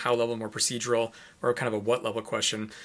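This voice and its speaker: On a very clean recording with a silent background, a man with an American accent speaks at a medium pitch in a bright, sharp tone. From US Midwest, Chicago. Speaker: education professor. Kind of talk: interview.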